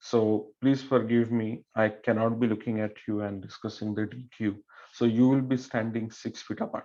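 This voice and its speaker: The man's voice is medium in pitch, with a dark, mellow tone and an Indian accent. He keeps a moderate pace and a monotone, flat intonation. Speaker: swim meet referee. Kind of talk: officials briefing. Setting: online meeting.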